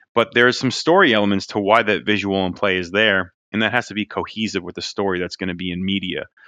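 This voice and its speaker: A man with an American accent and an unremarkable speaking voice talks at a fairly quick pace. His pitch is fairly low, with ordinary pitch variation. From New Jersey. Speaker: toy designer.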